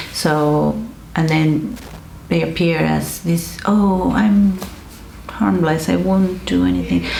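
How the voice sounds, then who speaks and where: Very slow speech with long, frequent pauses and very even loudness, in an Argentine accent, over noticeable background noise. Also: woman. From Argentina. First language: Spanish. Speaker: counselor. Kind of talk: educational talk to camera.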